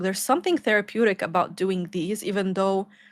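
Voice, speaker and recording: Over a very clean recording with a silent background, a woman talks with a non-native accent at a medium pitch. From Lebanon. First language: not English. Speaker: YouTuber. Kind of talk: casual chat.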